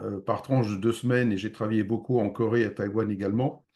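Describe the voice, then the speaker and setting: A man speaks at a fairly quick pace in a medium pitch with fairly even intonation. The background is quiet. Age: 60s. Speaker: real estate investment advisor. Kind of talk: webinar presentation. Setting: online video conference. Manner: hesitant with frequent fillers.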